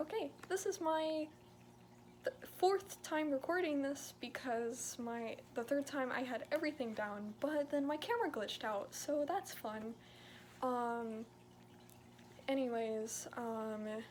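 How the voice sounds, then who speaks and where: A woman speaks at a very slow pace with a high pitch and lively intonation. Noticeable background noise is audible. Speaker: therian video creator. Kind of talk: casual talk to camera. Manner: hesitant, some stuttering.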